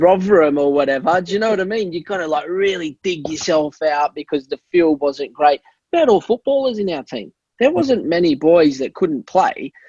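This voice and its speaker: The speech comes at a moderate pace. The sound is dry and close, with no echo. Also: man, high pitch for a man, lively intonation. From Australia. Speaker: former professional footballer. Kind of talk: casual interview. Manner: hesitant with frequent fillers.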